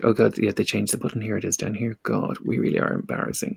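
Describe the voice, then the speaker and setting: A man with an Irish accent. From Ireland. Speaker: tarot reader and podcast host. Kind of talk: casual chat.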